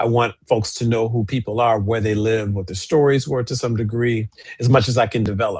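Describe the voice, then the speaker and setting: A man speaks at a fairly quick pace in a medium pitch. His voice is somewhat breathy, with fairly even intonation. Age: 60s. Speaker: archivist and co-host. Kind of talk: casual chat.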